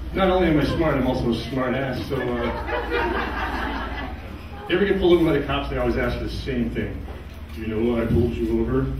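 Noticeable background noise and audible room echo surround a man talking at a fairly quick pace. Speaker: stand-up comedian. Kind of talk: stand-up comedy set of one-liners. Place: stage.

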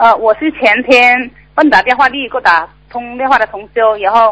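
Using a plain, everyday voice, a woman talks at a fairly high pitch, her pitch varying in an ordinary way. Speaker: caller. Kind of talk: call-in Q&A. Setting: phone call. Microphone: phone line.

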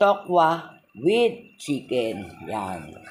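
A woman's fairly low voice with very wide pitch swings, amid noticeable background noise. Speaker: cooking vlogger. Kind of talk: cooking tutorial.

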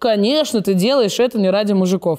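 Against a quiet background, a woman with a dark, mellow tone speaks at a moderate pace. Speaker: show host. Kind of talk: casual chat. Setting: studio. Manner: loud. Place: studio.

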